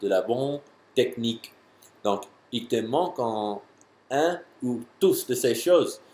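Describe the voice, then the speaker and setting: Speaking at a very slow pace, a man with an English accent uses a medium-pitched voice. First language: English (speaking French). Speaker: jumping and athletic trainer. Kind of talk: tutorial answering a viewer question. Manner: halting, many hesitations and repeats.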